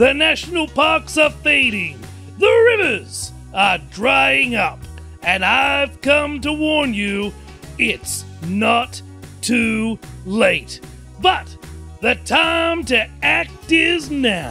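A man performs a cartoonish character voice at a very slow pace while clear music plays in the background. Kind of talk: children's puppet show. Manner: solemn, earnest.

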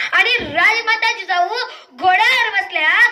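In a raised, projected voice, a woman speaks with a passionate tone at an extremely high pitch with ordinary pitch variation. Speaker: devotional lecturer and public speaker on Shivaji. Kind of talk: dramatic storytelling speech about a queen mother. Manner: passionate, emphatic, oratorical.

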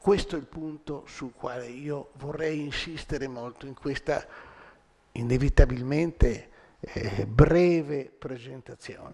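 A man speaks at a very slow pace with big swings in loudness. His pitch varies in an ordinary way. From Rome, Italy; Italy. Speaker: lecturer. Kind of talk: public lecture. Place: hall. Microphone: podium.

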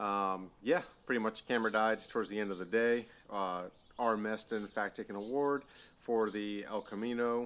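A man with a normal speaking voice, fairly low in pitch, with fairly even intonation. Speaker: car vlogger. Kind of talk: casual vlog chat. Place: garage. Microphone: phone near.

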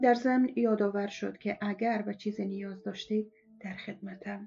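Music plays in the background as a woman at a medium pitch speaks at a fairly slow pace. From Afghanistan. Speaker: former TV and radio presenter. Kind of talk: first-person story reading.

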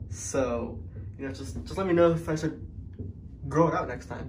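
A man speaks with very wide pitch swings and vocal fry over light background noise. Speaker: vlogger. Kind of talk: casual vlog chat. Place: bathroom. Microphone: phone near.

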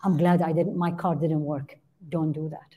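A woman with an Arabic accent speaks at a fairly low pitch in a dark, mellow, somewhat breathy tone with monotone, flat intonation. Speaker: Islamic teacher and physician. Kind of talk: religious lecture. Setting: online class. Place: church. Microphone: headset.

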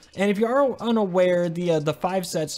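A man talks at a moderate pace with a high pitch and lively intonation. Noticeable background noise can be heard. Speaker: mobile gaming YouTuber. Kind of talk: gaming guide tutorial. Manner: casual, slangy, rambling.

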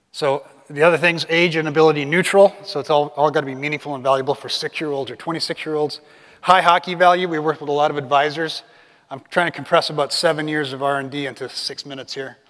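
Over a quiet background, a man speaks at a very fast pace with fairly even intonation. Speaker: conference presenter. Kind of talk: presentation talk. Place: hall. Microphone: lapel.

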